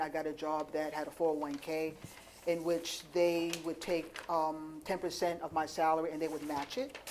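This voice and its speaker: A woman speaks at a moderate pace in a very deep, low voice, her intonation flat and monotone, with audible room echo. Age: 60s. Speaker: panel moderator and farmer. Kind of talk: conference panel moderation.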